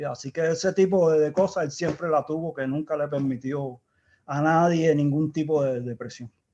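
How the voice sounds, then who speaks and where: With a Cuban accent, the voice moves at a moderate pace with fairly even intonation and a dark, mellow tone. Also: man, fairly high pitch for a man. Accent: Cuban, kept. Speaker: engineer, project founder. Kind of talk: interview conversation. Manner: halting, repeats words.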